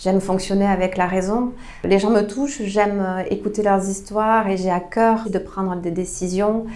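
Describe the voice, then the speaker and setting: With audible room echo, a woman of medium pitch speaks in a southwestern French accent at a moderate pace and with fairly even intonation. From southwest France, Tarn (Albi). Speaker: member of parliament. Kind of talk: interview. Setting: her constituency office. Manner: hesitant, many fillers.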